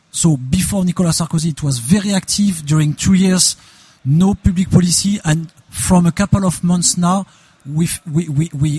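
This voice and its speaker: Speaking in a French accent at a moderate pace, a man with a fairly high pitch shows ordinary pitch variation in a dry, close sound with no echo. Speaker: open source industry federation president. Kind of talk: interview. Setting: trade fair booth. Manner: halting.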